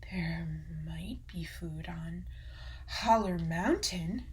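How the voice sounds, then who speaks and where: A put-on character voice at a very slow pace. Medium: read story. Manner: breezy, carefree.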